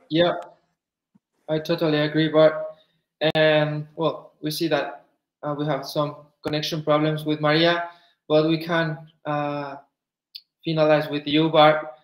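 With audible room echo, a fairly high-pitched man talks at a fairly slow pace in a monotone, flat intonation, leaving long, frequent pauses. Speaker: panel moderator. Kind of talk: online panel discussion. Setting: video call. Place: home room. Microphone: video call.

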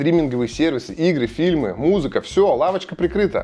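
Lively intonation runs through this man's speech, delivered at a moderate pace. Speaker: vlogger. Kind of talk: sponsored ad read. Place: home room. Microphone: lapel.

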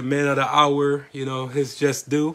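A man talks at a moderate speed. His voice is fairly high. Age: 30s. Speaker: podcast host. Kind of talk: casual chat.

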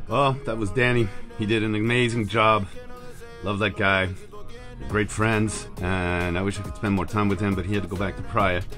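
A man's fairly low voice at a moderate pace, fairly even intonation, clear music in the background. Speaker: sailor vlogger. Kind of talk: casual vlog chat. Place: boat. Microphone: phone near.

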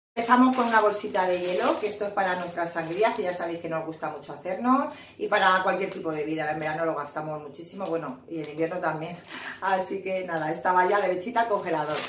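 A woman at a very fast pace with ordinary pitch variation, audible room echo and light background noise. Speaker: home vlogger. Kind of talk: casual vlog chat. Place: kitchen.

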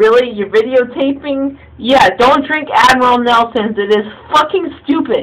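A woman with a high voice talks at a fairly slow pace, her pitch varying in an ordinary way. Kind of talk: drunken casual complaining. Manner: slurred drunk complaining. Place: bathroom. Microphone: phone near.

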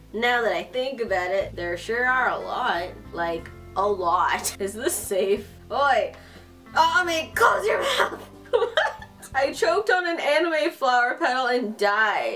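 Over faint background music, a woman speaks at a high pitch and a very slow pace. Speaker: gaming youtuber. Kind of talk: let's play commentary, reading game lines aloud. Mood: frustrated, joking. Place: home room.

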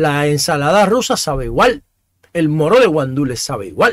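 Fairly quick speech with a dry sound, no echo, and a quiet background. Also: man. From Dominican Republic. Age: 50s. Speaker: talk show host. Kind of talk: opinion monologue. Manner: halting, with frequent repetitions. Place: home room. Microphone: studio mic.

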